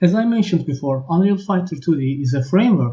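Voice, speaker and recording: With a non-native accent, a man speaks at a fairly quick pace in a dark, mellow, somewhat breathy tone, his intonation lively. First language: not English. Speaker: game engine developer. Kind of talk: tutorial.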